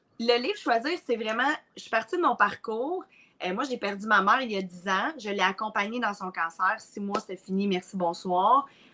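Through noticeable background noise, a woman with a fairly high pitch speaks at a moderate pace, her intonation lively and her loudness swinging widely. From Quebec, Mauricie. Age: 30s. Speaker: entrepreneur and coach. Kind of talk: casual interview. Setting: live recording.

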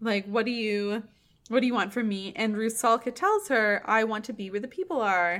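A woman with a normal speaking voice talks at a moderate pace and fairly high pitch, with ordinary pitch variation. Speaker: opera podcast host. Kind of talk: casual chat.

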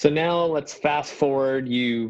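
The man's speech comes at a very slow pace. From Canada. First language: non-English. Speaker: podcast host. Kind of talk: interview.

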